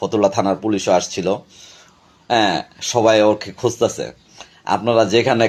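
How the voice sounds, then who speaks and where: Ordinary pitch variation in a man's fairly low-pitched voice. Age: 40s. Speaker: local party activist. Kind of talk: video statement.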